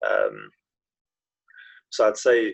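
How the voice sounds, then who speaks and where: A man speaks with a Yorkshire accent. The sound is dry and close, with no echo. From northern England, Knaresborough, North Yorkshire. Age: 20s. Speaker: professional footballer. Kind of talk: interview. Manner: hesitant, many fillers.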